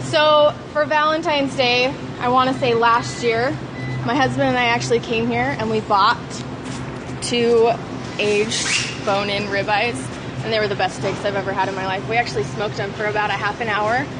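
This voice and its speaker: Music plays in the background. A woman speaks at a moderate pace. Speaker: food blogger. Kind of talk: casual vlog chat. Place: shop. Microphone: phone near.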